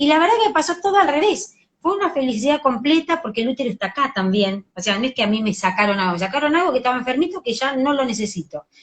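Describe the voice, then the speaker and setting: A woman with a Rioplatense accent talks very fast and animated at a high pitch, with very wide pitch swings and hardly any pauses. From Argentina. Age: 50s. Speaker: educational psychologist and author. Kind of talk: interview.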